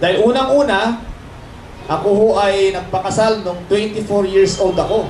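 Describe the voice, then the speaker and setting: A man speaks loudly with lively intonation. Audible room echo and noticeable background noise surround his voice. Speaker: church speaker. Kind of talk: sermon.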